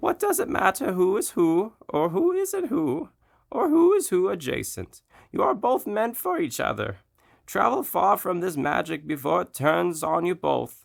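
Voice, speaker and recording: In a very clean recording with a silent background, a man puts on a character voice. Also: moderate pace. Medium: read story. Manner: cryptic, riddling.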